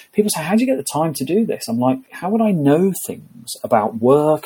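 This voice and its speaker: Speaking fairly quickly with an English accent, a man uses a dark, mellow tone and very wide pitch swings. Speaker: HR consultant and author. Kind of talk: interview.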